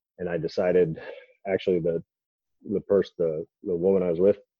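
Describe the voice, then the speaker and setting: With an American accent, a man talks at a fairly quick pace in a very deep, low voice. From Idaho. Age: 30s. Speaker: hunter and business owner. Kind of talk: casual interview.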